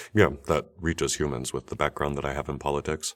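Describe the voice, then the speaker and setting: Vocal fry runs through a man's very deep, low voice. He talks at a fairly quick pace with fairly even intonation. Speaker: podcast host. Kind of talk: interview question. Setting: studio.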